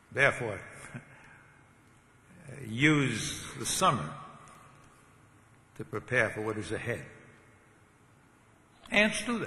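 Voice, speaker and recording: A man's medium-pitched voice at a very slow pace, with long, frequent pauses, very wide pitch swings and big swings in loudness, over noticeable background noise. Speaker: seminary professor giving a commencement address. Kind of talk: commencement speech, preaching. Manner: conversational, humorous, with filler words.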